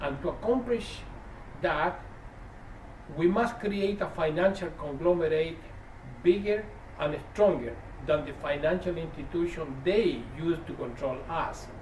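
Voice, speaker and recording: A man with a high voice speaks at a fairly slow pace, taking long, frequent pauses, with ordinary pitch variation, audible room echo and noticeable background noise. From Chile. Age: 60s. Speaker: activist. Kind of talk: prepared speech.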